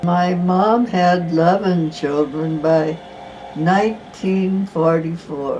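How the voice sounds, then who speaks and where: A woman speaks very slowly at a fairly low pitch, with fairly even intonation. Noticeable background noise is present. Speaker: storyteller telling her life story. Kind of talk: autobiographical narration.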